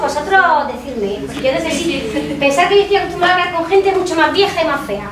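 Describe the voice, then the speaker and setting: Extremely high-pitched and fairly quick, a woman talks with lively intonation. Noticeable background noise and audible room echo are present. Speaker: psychologist. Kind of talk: talk to students. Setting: classroom talk without microphone. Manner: fast.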